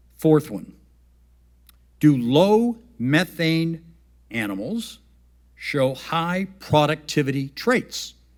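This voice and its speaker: Pausing long and often, a man speaks at a very slow pace in a fairly high voice that swings very widely in pitch. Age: 70s. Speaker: farmer and investor speaking at a summit. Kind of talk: conference talk. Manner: animated.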